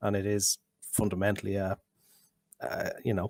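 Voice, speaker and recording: A man speaks with an Irish accent at a moderate pace. The sound is dry and close, with no echo. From Ireland. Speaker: drug policy researcher. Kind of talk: online panel discussion. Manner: halting, many repetitions.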